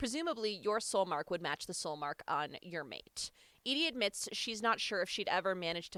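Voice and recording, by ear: The clip is reading aloud in a natural voice, with lively intonation.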